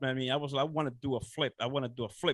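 A man is talking. He has a Dominican accent. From Dominican Republic. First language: Spanish. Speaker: real estate investor. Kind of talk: interview. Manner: halting.

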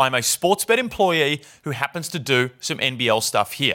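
On a very clean recording with a silent background, a man with an Australian accent speaks with very wide pitch swings. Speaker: basketball podcast host. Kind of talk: casual sports banter podcast. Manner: casual, joking.

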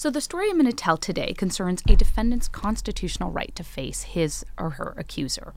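With an American accent, a woman speaks fairly quickly. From Chicago, US Midwest. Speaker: psychology professor. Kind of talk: live storytelling talk. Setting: stage with audience.

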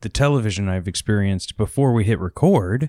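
In a very clean recording with a silent background, a man talks in a plain, everyday voice. He has an American accent and a fairly low pitch. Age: 20s. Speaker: podcast co-host. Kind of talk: casual chat.

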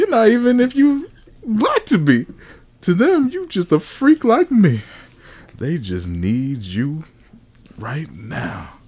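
A man at a very slow pace with long, frequent pauses, over noticeable background noise. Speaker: podcast host. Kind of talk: casual comedic group chat. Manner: animated, profane.

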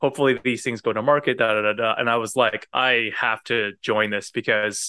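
Speaking with a Canadian accent, a man has a plain, everyday voice. His pace is moderate and his intonation fairly even. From Canada. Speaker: innovation consultant. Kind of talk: interview conversation.

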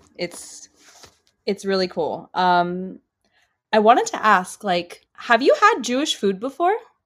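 A woman with an American accent speaks in a fairly high pitch at a fairly slow pace, leaving long, frequent pauses. Her tone is animated and her intonation lively. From US West Coast, Los Angeles. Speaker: multilingual expat living in Israel. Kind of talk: casual chat.

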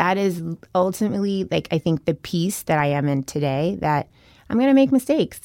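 A woman speaks with an American accent in a fairly low pitch and a dark, mellow tone. Her pace is fairly quick, her pitch swings very widely, and the sound is dry and close with no echo. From US South. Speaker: business executive. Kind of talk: interview.

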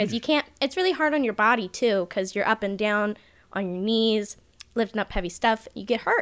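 A plain, everyday voice belongs to a woman pitched fairly high. She speaks at a moderate pace with ordinary pitch variation. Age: 20s. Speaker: electrician. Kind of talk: casual chat.

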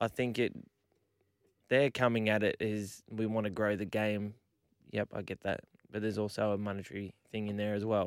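A man's fairly low voice at a moderate pace, monotone and flat, with long, frequent pauses, recorded dry and close with no echo on a very clean track with a silent background. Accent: Australian. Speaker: sports radio host. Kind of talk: casual sports chat. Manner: bantering, teasing.

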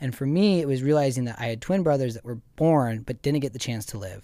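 Recorded very cleanly against a silent background, a man with an American accent has an ordinary speaking voice, medium pitch, ordinary pitch variation and a fairly quick pace. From Montana. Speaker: ice bath and breathwork event host. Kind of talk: interview. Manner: casual.

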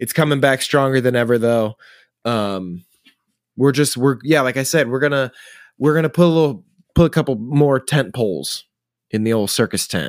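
Speaking at a moderate pace with long, frequent pauses, a man has a medium pitch and ordinary pitch variation. The sound is dry and close, with no echo. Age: 20s. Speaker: guest co-host. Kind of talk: casual chat. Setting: remote call from home.

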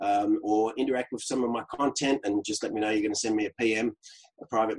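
A man speaks with an Australian accent at a fairly quick pace. His pitch is medium and his intonation is monotone and flat. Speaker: LinkedIn coach. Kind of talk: casual interview.

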